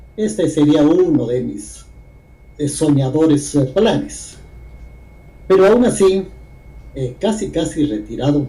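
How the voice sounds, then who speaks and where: With long, frequent pauses, a man talks at a very slow pace in a fairly high pitch. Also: lively intonation. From Guatemala. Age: 80s+. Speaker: poet and writer. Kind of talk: interview.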